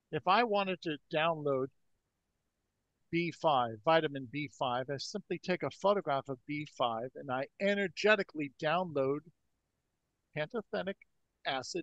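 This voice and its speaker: A man with a fairly high pitch speaks at a moderate pace. His intonation is lively, broken by long, frequent pauses. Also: dry, close sound with no echo. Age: 60s. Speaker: energy healing researcher. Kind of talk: podcast interview.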